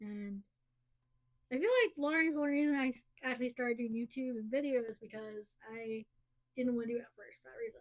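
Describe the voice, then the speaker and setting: A high-pitched woman speaks with big swings in loudness. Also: ordinary pitch variation. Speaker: podcast co-host. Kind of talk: casual chat.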